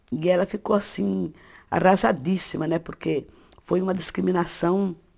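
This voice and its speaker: Speaking fairly slowly, the woman keeps a medium pitch while her voice swings very widely up and down. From interior of São Paulo state, Brazil. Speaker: writer. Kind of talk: interview testimony. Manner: halting, with repetitions.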